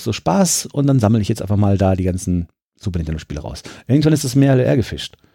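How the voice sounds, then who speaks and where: Very fast, a man speaks in a dark, mellow tone. The recording is very clean, with a silent background. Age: 30s. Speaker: museum press spokesman and retro gaming collector. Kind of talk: casual interview. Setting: pinball and arcade museum during an event.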